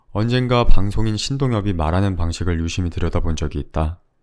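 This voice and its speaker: This man has a very deep, low voice. His pitch varies in an ordinary way. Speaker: audiobook narrator. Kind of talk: audiobook reading.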